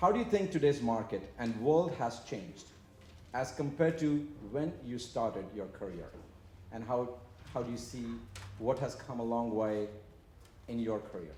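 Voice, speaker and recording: Lively intonation from a man with an Indian accent, medium pitch and a somewhat breathy, dark, mellow tone, at a moderate pace with long, frequent pauses and audible room echo. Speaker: panel moderator. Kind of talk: moderating panel discussion. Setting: live event with audience.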